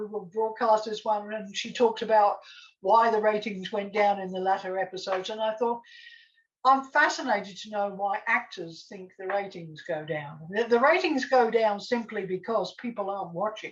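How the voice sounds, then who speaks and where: Fairly high in pitch, a woman with an Australian accent speaks with big swings in loudness. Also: ordinary pitch variation, moderate pace. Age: 70s. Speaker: TV scriptwriter. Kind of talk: casual chat.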